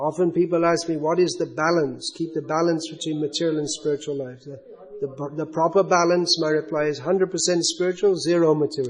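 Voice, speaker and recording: Over noticeable background noise, a man with a fairly high pitch speaks at a fairly quick pace in monotone, flat intonation. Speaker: spiritual teacher. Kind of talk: religious lecture with questions.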